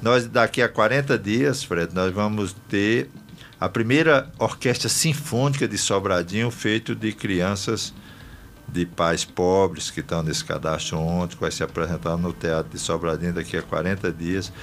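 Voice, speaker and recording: Using a plain, everyday voice, a man speaks in a fairly low pitch with lively intonation. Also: fairly slow pace. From Brazil, Rio Grande do Norte (Northeast). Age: 60s. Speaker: politician. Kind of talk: radio interview. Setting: radio studio.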